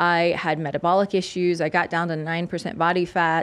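A woman with an American accent, a plain, everyday voice, fairly low pitch, moderate pace, and a quiet background. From US South, South Louisiana. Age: 40s. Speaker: holistic nutritionist and former fitness competitor. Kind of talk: interview conversation. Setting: studio.

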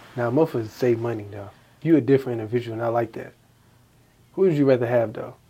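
A man with a dark, mellow, somewhat breathy tone speaks very fast yet leaves long, frequent pauses. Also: medium pitch for a man, ordinary pitch variation, big swings in loudness. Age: 20s. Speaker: podcast host. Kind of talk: casual chat.

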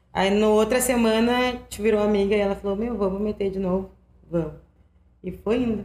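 A woman at a medium pitch speaks at a moderate pace with monotone, flat intonation. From Viamão, Rio Grande do Sul, Brazil. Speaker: rap battle organizer. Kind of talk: casual interview.

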